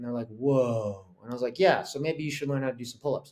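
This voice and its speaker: With an American accent, a man talks at a fairly quick pace in a fairly high pitch with ordinary pitch variation. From Korea-born, raised abroad by American parents (Italy, Singapore, London, Norway). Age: 40s. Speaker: fitness content creator; podcast guest. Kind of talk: podcast interview. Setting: video call. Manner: talkative. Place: home room. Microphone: webcam.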